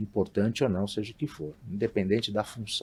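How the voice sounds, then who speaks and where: This man has a fairly low pitch. His voice is somewhat breathy. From Brazil, São Paulo state (Marília). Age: 50s. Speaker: hotelier. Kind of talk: interview. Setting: studio.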